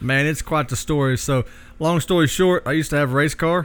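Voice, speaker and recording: A man talks in a Southern US accent with ordinary pitch variation. The recording is very clean, with a silent background. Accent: Southern US, noticeable. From Oklahoma. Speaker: knife maker. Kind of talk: casual interview, storytelling. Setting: in his workshop.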